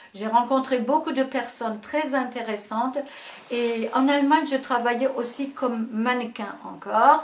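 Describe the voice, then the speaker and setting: Through noticeable background noise, a woman speaks very slowly in a high voice. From Germany, Ruhr region. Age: 70s. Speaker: dance and fitness teacher. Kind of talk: interview. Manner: halting.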